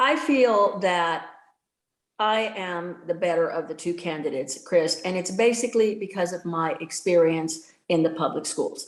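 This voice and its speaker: This woman has an unremarkable speaking voice with a fairly low pitch. She talks at a fairly slow pace with ordinary pitch variation. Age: 60s. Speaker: political candidate, retired educator. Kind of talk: debate closing statement.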